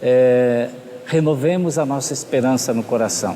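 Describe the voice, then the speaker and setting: A man at a medium pitch with ordinary pitch variation and a very slow pace, over noticeable background noise. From Brazil, São Paulo (born in Rio de Janeiro state). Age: 60s. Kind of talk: interview.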